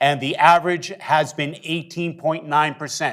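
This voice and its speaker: Heard on a very clean recording with a silent background, a man with a plain, everyday voice and fairly high pitch speaks at a moderate pace with fairly even intonation. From northeastern US. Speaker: industry trainer. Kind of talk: technical training presentation.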